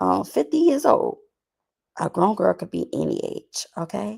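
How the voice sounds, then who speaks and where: A woman talks at a very slow pace in an American accent. The recording is very clean, with a silent background. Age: 30s. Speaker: YouTuber, commentary host. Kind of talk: casual talk to camera, girl talk commentary. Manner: conversational, casual, opinionated.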